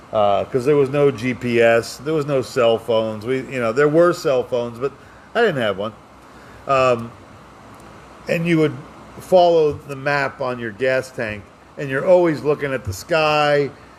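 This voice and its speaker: Medium-pitched male voice at a moderate pace, ordinary pitch variation, long, frequent pauses and noticeable background noise. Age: 60s. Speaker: podcast host and stand-up comedian. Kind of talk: casual chat. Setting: live show broadcast.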